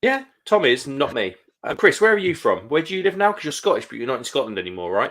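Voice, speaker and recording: The speech races along at a very fast pace, with big swings in loudness. The recording is very clean, with a silent background. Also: man. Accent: Kent. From Kent, southeast England. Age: 30s. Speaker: live stream host, beer reviewer. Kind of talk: casual chat. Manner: quiet, keeping voice down.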